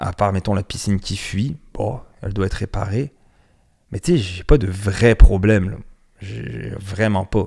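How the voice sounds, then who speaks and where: The voice has a dark, mellow tone with vocal fry, ordinary pitch variation, big swings in loudness and long, frequent pauses. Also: man, fairly low pitch for a man. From France. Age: 30s. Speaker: podcast host. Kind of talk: casual monologue podcast. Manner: hesitant, repeats words.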